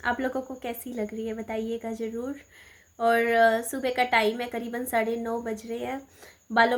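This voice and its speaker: A woman with a high-pitched voice talks at a fairly slow pace in a very clean recording with a silent background. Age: 30s. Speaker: vlogger, mother. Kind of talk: casual vlog chat. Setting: at home, filming to camera. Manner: hesitant, filler-heavy.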